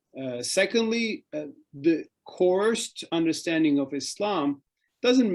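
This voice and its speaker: Against a quiet background, a man with a Turkish accent speaks at a fairly slow pace in a high voice with lively intonation. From Turkey. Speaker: author and think-tank fellow on Islam. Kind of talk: interview talk. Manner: hesitant with fillers and restarts.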